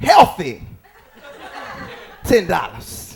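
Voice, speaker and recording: Noticeable background noise runs beneath a man speaking with a Chicago accent. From US Midwest, South Side Chicago. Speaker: stand-up comedian. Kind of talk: stand-up. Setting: stage with audience.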